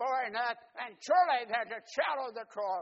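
The pace is moderate. A man speaks with ordinary pitch variation. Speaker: preacher. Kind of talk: sermon to a church congregation, call-and-response, with storytelling. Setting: church. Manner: animated, warm and rousing, with dramatic pauses and vivid imagery; interactive, inviting the congregation to answer back.

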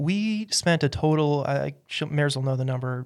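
A man with an American accent and a fairly high pitch, a plain, everyday voice at a moderate pace, on a very clean recording with a silent background. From Utah, US. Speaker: church member and preacher. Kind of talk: casual interview.

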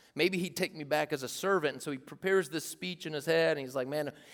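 This man's voice sits fairly high in pitch and has ordinary pitch variation. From US South, rural East Tennessee. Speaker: youth pastor. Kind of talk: sermon. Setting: stage with audience. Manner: animated.

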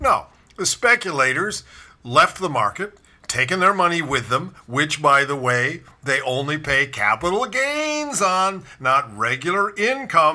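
High-pitched for a man, his bright, sharp, animated voice makes very wide pitch swings at a fairly slow pace. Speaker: political podcast host. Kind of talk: political commentary monologue. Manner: animated, sarcastic.

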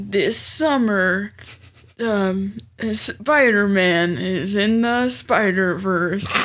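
This put-on character voice sits at a middle pitch and moves at a very slow pace, broken by long, frequent pauses. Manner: dramatic, promotional.

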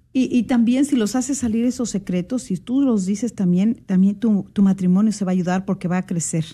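Speaking at a fairly quick pace, a woman has a dark, mellow, somewhat breathy tone with ordinary pitch variation. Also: medium pitch for a woman. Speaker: radio co-host. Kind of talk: religious radio talk.

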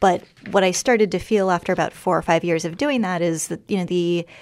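On a very clean recording with a silent background, a woman with an unremarkable speaking voice talks at a fairly quick pace, her pitch fairly low with ordinary variation. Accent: American. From US, Washington DC. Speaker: documentary photographer. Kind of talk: radio interview.

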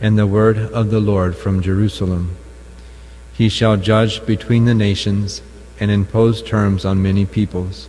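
Somewhat breathy, a man speaks at fairly low pitch and a fairly slow pace in a dark, mellow tone with fairly even intonation. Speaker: lector at Mass. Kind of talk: scripture reading aloud. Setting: chapel.

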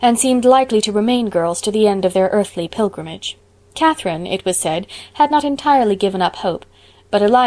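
Plain reading aloud, nothing more.

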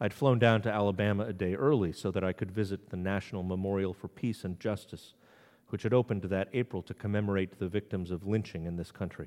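A fairly low male voice in a New England accent, very fast, with fairly even intonation. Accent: New England accent, unlike Southern ones. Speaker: priest. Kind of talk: sermon. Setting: church.

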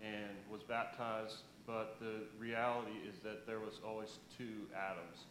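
With audible room echo, a man talks at a fairly low pitch. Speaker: church member giving testimony. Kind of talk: testimony. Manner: slow; halting.

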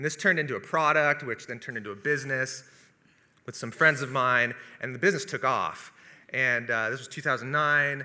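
A man with a bright, sharp tone speaks at a fairly quick pace and medium pitch. His loudness swings widely, while his pitch variation is ordinary. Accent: West Coast. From US Pacific Northwest (Seattle area). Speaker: video producer and business owner. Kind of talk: testimony.

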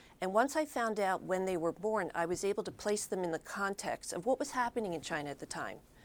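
An unremarkable speaking voice from a woman, medium in pitch with lively intonation, on a very clean recording with a silent background. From Philadelphia, Pennsylvania. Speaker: author and former reporter. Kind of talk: interview.

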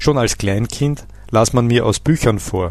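A man with a normal speaking voice talks at a fairly slow pace, his medium pitch carrying ordinary variation. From Austria. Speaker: language teacher. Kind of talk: scripted narration. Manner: formal.

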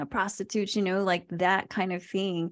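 Against a quiet background, a woman with a plain, everyday voice speaks at a moderate pace in a fairly low pitch. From Virginia, US; born in the Philippines. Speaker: nonprofit staff member, former corporate worker. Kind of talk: casual group discussion.

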